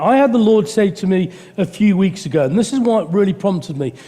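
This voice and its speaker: Noticeable background noise sits behind a man with a high pitch. He speaks at a moderate pace with lively intonation. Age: 60s. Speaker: preacher. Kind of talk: sermon. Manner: halting.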